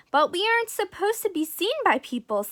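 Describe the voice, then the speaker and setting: A woman's put-on character voice, extremely high-pitched and at a fairly quick pace. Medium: read story. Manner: cautious.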